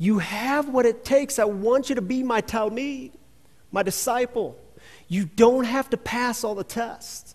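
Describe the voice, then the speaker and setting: A man talks at a fairly slow pace. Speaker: pastor. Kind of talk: sermon. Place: church. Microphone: headset.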